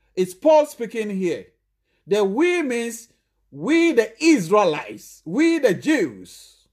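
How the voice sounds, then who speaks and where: Over a silent background in a very clean recording, a man speaks very slowly. His pitch swings very widely. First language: not English. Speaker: preacher. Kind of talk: sermon.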